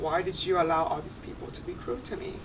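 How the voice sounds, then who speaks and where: With audible room echo and noticeable background noise, a woman talks at a fairly quick pace. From Vietnam, moved to the US as a child. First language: Vietnamese. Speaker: panel guest. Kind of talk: testimony.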